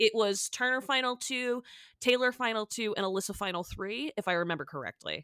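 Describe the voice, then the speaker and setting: In an American accent, a woman with an unremarkable speaking voice talks at a fairly quick pace with lively intonation, the sound dry and close with no echo. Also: fairly high pitch for a woman, very clean recording, silent background. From Massachusetts. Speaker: podcast host. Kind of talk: casual chat.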